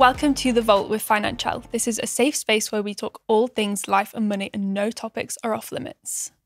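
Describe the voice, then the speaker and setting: The voice carries a northern English accent at a moderate pace. The sound is dry and close, with no echo. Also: woman. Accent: British, northern. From northern England. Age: 20s. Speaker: podcast co-host. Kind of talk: casual chat.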